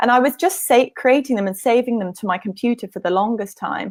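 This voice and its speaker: In a British accent, a woman speaks with a fairly high pitch and lively intonation. The recording is very clean, with a silent background. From UK. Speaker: nutrition practitioner and blogger. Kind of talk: interview. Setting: live stream video.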